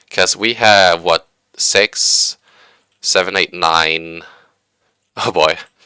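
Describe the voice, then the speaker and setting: A man with a very deep, low pitch and a bright, sharp tone comes across in a dry, close sound with no echo. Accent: slight Swedish. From Sweden. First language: Swedish. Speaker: game streamer and hobby engineer. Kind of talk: live stream commentary. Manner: casual, hesitant with fillers.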